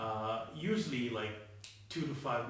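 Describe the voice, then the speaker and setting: A man speaks at medium pitch. Noticeable background noise runs beneath him. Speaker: actor. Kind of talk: acting tutorial talk to camera. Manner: casual, hesitant.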